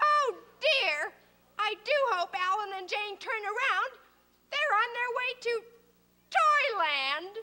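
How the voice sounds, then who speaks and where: A female-sounding, put-on character voice rises to an extremely high pitch. It moves at a fairly slow pace with long, frequent pauses. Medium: short film. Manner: sassy, wisecracking.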